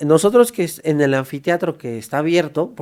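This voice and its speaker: A man's voice at a fairly high pitch with ordinary pitch variation. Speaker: forensic doctor. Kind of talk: podcast interview. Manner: fast.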